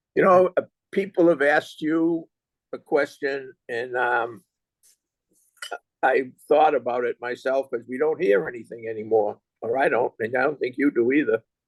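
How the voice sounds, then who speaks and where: Heard with a dry, close sound and no echo, a man with a Boston accent speaks at a fairly high pitch and moderate pace, with ordinary pitch variation and long, frequent pauses. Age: 70s. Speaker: interviewer. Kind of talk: interview.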